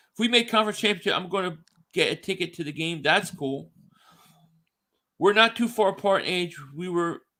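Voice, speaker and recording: Speaking in an American accent, a man projects a raised, high-pitched voice with a bright, sharp tone and ordinary pitch variation, moving at a fairly quick pace broken by long, frequent pauses on a very clean recording with a silent background. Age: 40s. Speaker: sports podcast host. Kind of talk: casual chat.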